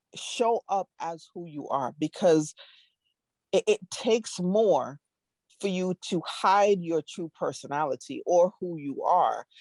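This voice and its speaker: Speaking very slowly, a woman with a Caribbean accent uses a medium pitch and lively intonation. Her loudness swings widely in a dry, close sound with no echo. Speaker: diversity strategist. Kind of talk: interview. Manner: halting.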